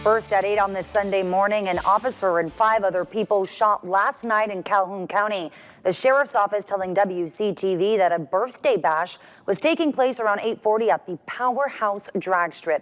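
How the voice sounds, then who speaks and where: A woman in a plain, everyday voice speaks with an American accent at a medium pitch, a moderate pace and ordinary pitch variation. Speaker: TV news anchor and reporter. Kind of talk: TV news anchor reel.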